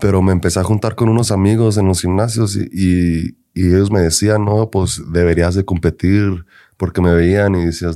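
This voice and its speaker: On a very clean recording with a silent background, a man with a very deep, low pitch speaks at a moderate pace in a dark, mellow, monotone, flat voice. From Denver, Colorado, US, Mexican-American family. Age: 20s. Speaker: men's physique bodybuilder. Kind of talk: casual chat.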